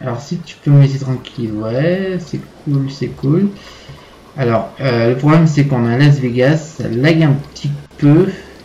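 A man's fairly high voice with ordinary pitch variation at a fairly slow pace, with music in the background. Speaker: gaming YouTuber. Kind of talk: gameplay commentary. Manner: hesitant, many fillers.

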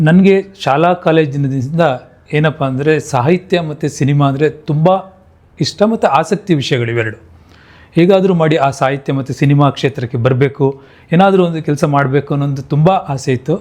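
A man talks in an ordinary speaking voice. His pitch is fairly high, with ordinary variation. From Mandya district, Karnataka, India. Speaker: software engineer and film producer. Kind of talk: monologue to camera.

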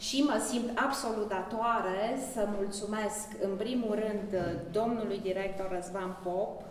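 A woman speaks at a fairly slow pace with fairly even intonation. Audible room echo and light background noise surround her voice. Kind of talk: formal thank-you speech at exhibition opening. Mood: grateful, warm. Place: hall. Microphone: camera far.

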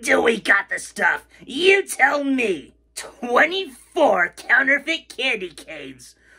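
This cartoonish character voice moves at a very slow pace. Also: female-sounding voice, high pitch for a woman. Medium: puppet show. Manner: brash, wisecracking salesman patter.

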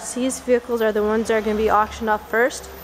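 There is noticeable background noise behind a woman as she talks. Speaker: auction house staff member giving a preview walkthrough. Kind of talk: auction preview walkthrough talking to camera. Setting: indoors in a warehouse. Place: garage. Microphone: phone near.

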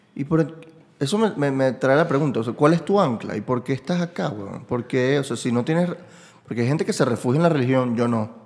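This man speaks with a Caracas accent, his intonation lively and his pace fairly quick. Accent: Venezuelan Spanish (Caracas). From Venezuela. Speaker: podcast host and comedian; podcast host, comedian. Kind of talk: casual conversational interview. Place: home room. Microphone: studio mic.

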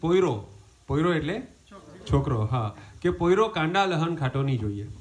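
With lively intonation, a man talks at a fairly high pitch. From India, Surat (Gujarat); Gujarat, India. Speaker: comedian. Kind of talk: stand-up. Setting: home gathering with audience. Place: garden. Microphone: pa.

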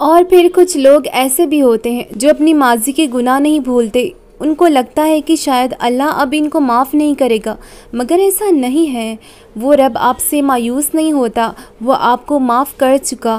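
Her high-pitched voice shows ordinary pitch variation as this woman speaks. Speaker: poetry reciter. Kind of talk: inspirational religious quote reading.

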